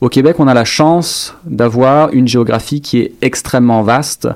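At a moderate pace, a man talks in an ordinary speaking voice of medium pitch with ordinary pitch variation. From France, Dijon (Burgundy). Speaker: doctoral student and lecturer. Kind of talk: interview.

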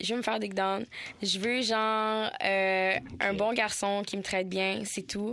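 A woman at medium pitch with a bright, sharp tone, fairly even intonation and a fairly slow pace. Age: 20s. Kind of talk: casual chat.

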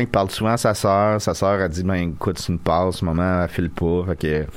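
This man's voice sits at a very deep, low pitch with ordinary pitch variation. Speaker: podcast co-host. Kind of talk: casual chat. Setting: studio.

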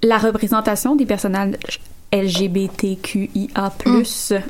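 A woman's voice over noticeable background noise. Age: 20s. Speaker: podcast panelist. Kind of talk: casual chat.

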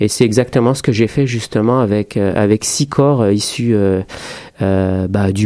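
A man talks fairly slowly in a dark, mellow tone. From France, working-class suburbs, Moroccan family. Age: 30s. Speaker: choreographer. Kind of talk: radio interview. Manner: halting, many repetitions.

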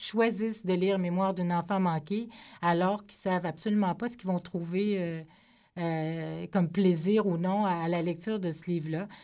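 A woman with a plain, everyday voice talks at a moderate pace and medium pitch. Her intonation stays fairly even, and the recording is very clean with a silent background. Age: 40s. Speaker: novelist. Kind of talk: radio interview. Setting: studio.

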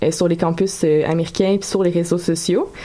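A woman's medium-pitched voice with ordinary pitch variation, set against noticeable background noise. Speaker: radio columnist. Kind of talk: casual chat.

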